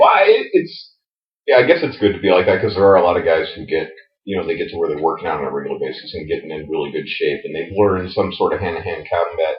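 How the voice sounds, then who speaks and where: The loudness of this man's voice rises and drops sharply. He rattles through his words at a very fast pace. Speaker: podcast co-host. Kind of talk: casual chat.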